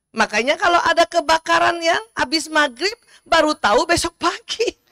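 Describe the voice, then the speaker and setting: At a moderate pace, a woman projects an extremely high, bright, sharp voice in a raised register, with an animated tone, lively intonation, very even loudness and a dry, close sound with no echo. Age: 50s. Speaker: doctor giving religious talk. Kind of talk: religious lecture to audience.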